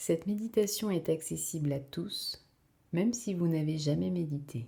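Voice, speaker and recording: Her voice is fairly low, dark and mellow, with a calm tone. This woman's intonation is lively. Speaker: meditation guide. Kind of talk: guided meditation. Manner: slow, calm.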